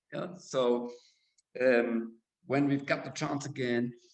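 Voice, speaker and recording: At a very slow pace, a man of medium pitch speaks with a German accent and fairly even intonation. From Germany. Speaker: school director. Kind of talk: interview. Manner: halting.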